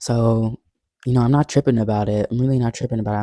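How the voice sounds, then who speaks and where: A man with a dark, mellow tone talks at a medium pitch, his intonation fairly even. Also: dry, close sound with no echo. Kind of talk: casual talk to camera. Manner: casual, rambling.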